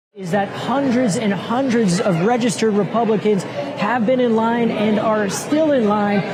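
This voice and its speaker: Crowd noise fills the background as a man with an American accent talks at a moderate pace. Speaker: TV news reporter and anchor. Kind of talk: TV news report.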